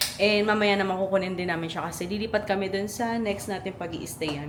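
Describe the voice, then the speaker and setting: A woman speaks at a fairly quick pace in an animated tone. The room echo is audible, along with noticeable background noise. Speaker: travel vlogger. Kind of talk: casual travel vlog.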